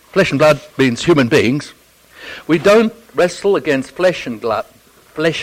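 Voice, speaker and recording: Speaking at a fairly slow pace, a man talks with an Australian accent. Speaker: theology professor and Bible teacher. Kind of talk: Bible teaching talk. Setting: church audience. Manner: humorous, conversational.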